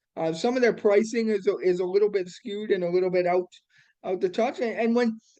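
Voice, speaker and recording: A loud man with a Canadian accent speaks at a very fast pace against a quiet background. His voice is high in pitch, with a dark, mellow tone. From Alberta, Canada. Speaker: accessibility consultant and business founder. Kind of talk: interview. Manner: animated.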